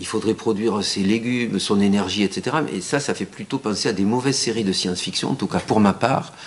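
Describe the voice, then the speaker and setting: Over noticeable background noise, a man with a fairly low pitch talks at a fairly quick pace with hardly any pauses and ordinary pitch variation. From southern France. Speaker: architect. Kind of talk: lecture. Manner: halting, many fillers and repetitions.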